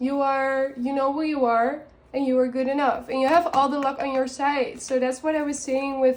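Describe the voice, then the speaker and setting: A woman talks at a moderate pace with a non-native accent. Her high pitch stays in fairly even intonation. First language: not English. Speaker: tarot and oracle card reader. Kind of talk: oracle card reading for viewers. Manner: halting, many fillers and restarts.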